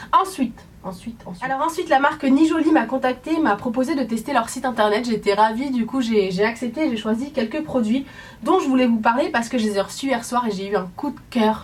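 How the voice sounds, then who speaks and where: Fairly brisk, lively-sounding speech against noticeable background noise. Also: woman, high pitch for a woman. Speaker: beauty vlogger. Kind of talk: casual product review vlog. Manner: animated.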